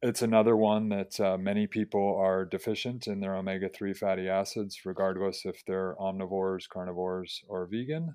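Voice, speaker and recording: A man talks in an ordinary speaking voice with a fairly low pitch. His pace is fairly quick, with fairly even intonation and hardly any pauses. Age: 40s. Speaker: health professor and running coach. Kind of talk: interview.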